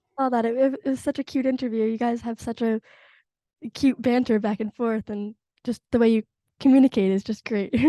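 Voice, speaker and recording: Talking at a fairly quick pace with long, frequent pauses, a woman has a fairly high pitch, a dark, mellow tone and monotone, flat intonation, in a dry, close sound with no echo. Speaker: interviewer, show host. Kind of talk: interview questions.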